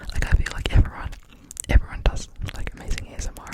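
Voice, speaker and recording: This is whispering at a moderate pace. Noticeable noise sits behind it. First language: not English. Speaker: ASMR creator. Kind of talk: ASMR rambling talk. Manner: whispered.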